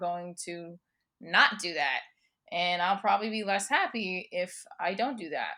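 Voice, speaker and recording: A woman's bright, sharp voice with a New Jersey accent and ordinary pitch variation, in a very clean recording with a silent background. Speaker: comedian, performer, educator. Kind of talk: interview answer. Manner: energetic.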